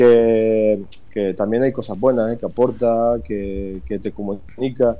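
In a dark, mellow tone, a man speaks very slowly at a medium pitch with fairly even intonation. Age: 40s. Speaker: emigrant interviewee. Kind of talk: casual interview. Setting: WhatsApp call. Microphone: phone line.

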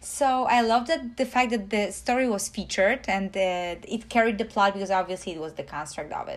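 With a Polish accent, a woman talks at a fairly quick pace with lively intonation on a very clean recording with a silent background. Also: medium pitch for a woman. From Poland. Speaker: host's partner. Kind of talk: casual chat.

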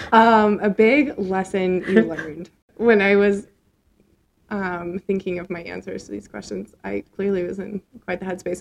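A woman with an American accent and an unremarkable speaking voice, medium in pitch with ordinary pitch variation, at a fairly slow pace with big swings in loudness. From US Midwest (Nebraska, Minnesota). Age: 20s. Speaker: podcast co-host and educator. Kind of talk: casual chat. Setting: studio.

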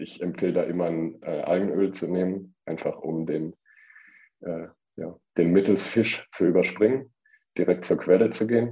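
A dark, mellow tone at a fairly slow pace with ordinary pitch variation. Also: man, very deep, low pitch for a man. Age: 30s. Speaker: vegan nutrition consultant. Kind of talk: interview.

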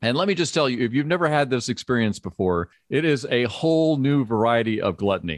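A man with a normal speaking voice talks at a fairly quick pace in a medium pitch, with lively intonation and very even loudness. The sound is dry and close, with no echo. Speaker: podcast host. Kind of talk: casual interview.

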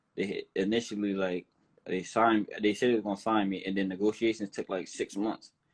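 His pitch is fairly low. The man talks at a moderate pace. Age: 20s. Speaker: professional boxer. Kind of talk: casual interview.

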